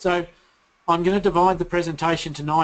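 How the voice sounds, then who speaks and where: A man is speaking. He has an Australian accent. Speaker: company founder and CEO, presenter. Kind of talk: webinar presentation. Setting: online webinar. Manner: hesitant, many filler words.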